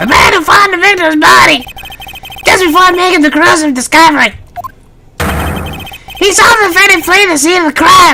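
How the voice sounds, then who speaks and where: An extremely high put-on character voice at a fairly quick pace, broken by long, frequent pauses. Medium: fan dub.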